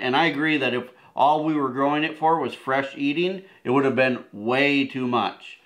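A man speaks at a fairly slow pace with a fairly high pitch. The background is quiet. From Wisconsin. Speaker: homesteading video co-host. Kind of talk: casual gardening talk to camera. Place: home room. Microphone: camera far.

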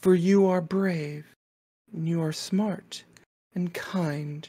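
A raspy put-on character voice at a middle pitch and a very slow pace. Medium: actual play. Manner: doting, ceremonious, coaxing.

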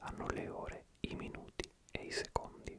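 The man speaks only in a whisper. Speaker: ASMR creator. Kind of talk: soft casual ASMR chat. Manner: soft close-mic ASMR murmur. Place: home room. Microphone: studio mic.

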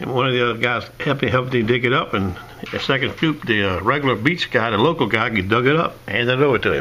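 Over noticeable background noise, a man speaks at a very fast pace with medium pitch and ordinary pitch variation. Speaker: metal detecting vlogger. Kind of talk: casual vlog update.

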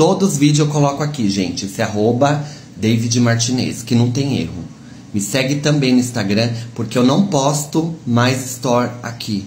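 A man speaks at a moderate pace and medium pitch with ordinary pitch variation. Light background noise is present. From Brazil. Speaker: social media livestreamer; content creator. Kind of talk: casual vlog address to followers. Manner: warm, chatty. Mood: warm, chatty, animated. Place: kitchen. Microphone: phone near.

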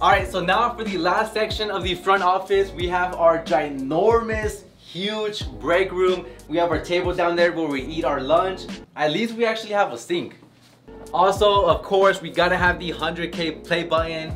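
Clear music plays in the background as a man speaks at a moderate pace in a high pitch with ordinary pitch variation. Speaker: business owner vlogger. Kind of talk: casual vlog chat. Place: office. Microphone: camera far.

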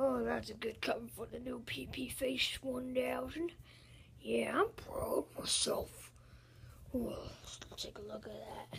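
A raspy cartoonish character voice moves at a fairly slow pace with long, frequent pauses. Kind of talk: puppet skit dialogue. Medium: puppet show. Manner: boastful, smug, excited.

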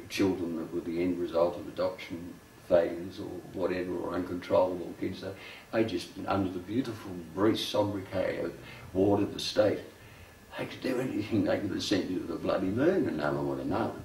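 With an Australian accent, a man talks at a fairly quick pace amid light background noise and audible room echo. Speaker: poet. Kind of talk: documentary interview answer. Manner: casual, halting, conversational. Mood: reflective, wry. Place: home room.

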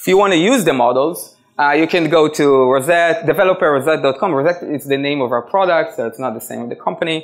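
Fairly high-pitched, a man speaks with ordinary pitch variation. He keeps a fairly quick pace.

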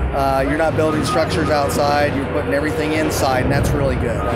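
A man talks over music playing in the background. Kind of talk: interview answer. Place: tunnel cave.

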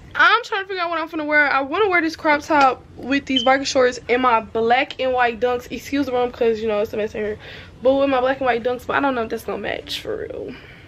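A very fast pace over light background noise. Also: woman, high pitch for a woman, lively intonation. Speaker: vlogger. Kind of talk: casual vlog chat. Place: home room. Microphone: phone near.

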